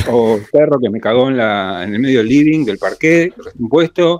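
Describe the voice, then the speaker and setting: A man speaks with a Rioplatense accent, his pitch swinging very widely. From Argentina, Buenos Aires. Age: 50s. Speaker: astrologer. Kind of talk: casual interview chat.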